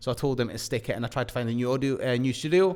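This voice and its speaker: This man has a Scottish accent. His medium pitch shows ordinary variation. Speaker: property investment podcast co-host. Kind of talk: casual chat.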